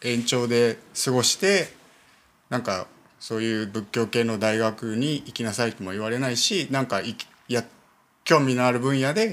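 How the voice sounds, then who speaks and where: A man talks at a medium pitch and a moderate pace. His speech has long, frequent pauses. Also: ordinary pitch variation. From Niigata, Japan (Myoko). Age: 30s. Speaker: Buddhist temple priest. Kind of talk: casual interview conversation.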